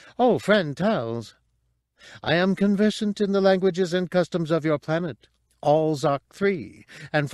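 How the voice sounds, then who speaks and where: In a put-on character voice, a man sounds robotic, with a high pitch. He keeps a moderate pace against a quiet background. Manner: polite, chatty, prim.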